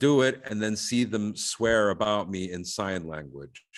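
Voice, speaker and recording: In an American accent, a man speaks at a fairly low pitch. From Egypt. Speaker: stand-up comedian. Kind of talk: casual chat. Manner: animated.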